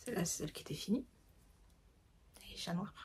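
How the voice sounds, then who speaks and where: The woman's voice has a dark, mellow tone at a medium pitch. It is somewhat breathy. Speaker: candle maker and knitting podcaster. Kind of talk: casual chat. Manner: hesitant, many fillers.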